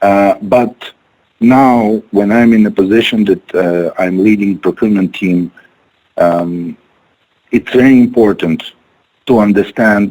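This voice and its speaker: A man speaks fairly slowly in a fairly low, dark, mellow voice, with ordinary pitch variation. His loudness stays very even, broken by long, frequent pauses. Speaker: procurement manager. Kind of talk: webinar presentation. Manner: hesitant, many fillers.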